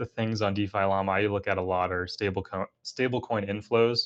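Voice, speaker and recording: The background is quiet. A man talks at a fairly low pitch. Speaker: crypto guest, aerospace engineer in defense industry. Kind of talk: casual podcast interview. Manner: fast.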